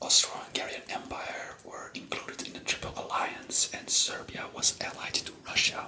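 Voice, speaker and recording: Whispering with a Flemish accent, a man speaks over noticeable background noise. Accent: Flemish Belgian. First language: Flemish (Dutch). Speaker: ASMR history youtuber. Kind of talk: casual ASMR talk. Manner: halting.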